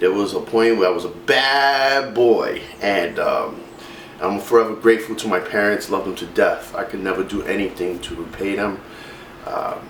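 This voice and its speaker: A man with a New York accent speaks at a moderate pace in a fairly low pitch, with ordinary pitch variation. The recording carries noticeable background noise and audible room echo. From New York City, Brooklyn. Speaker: fitness vlogger. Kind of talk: personal testimony. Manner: casual, many fillers.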